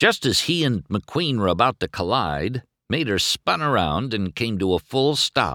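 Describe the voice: The speaker reads aloud plainly, with lively intonation, against a quiet background.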